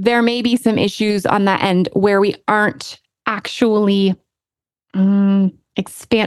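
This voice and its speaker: In an ordinary speaking voice, a woman speaks at a medium pitch with fairly even intonation and very even loudness, the sound dry and close with no echo. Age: 40s. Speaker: life coach and podcast host. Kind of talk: solo podcast monologue. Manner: casual, conversational.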